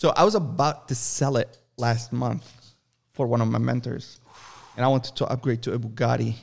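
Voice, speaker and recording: A man of medium pitch talks at a fairly quick pace with vocal fry and fairly even intonation. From Lebanon. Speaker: podcast co-host, entrepreneur. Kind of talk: casual chat. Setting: studio.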